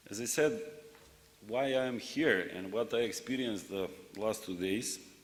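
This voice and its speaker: A man with a non-native accent at a moderate pace, ordinary pitch variation, and audible room echo. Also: medium pitch for a man. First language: not English. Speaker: secretary general of regional rural development organization. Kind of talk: conference speech. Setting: plenary session with audience.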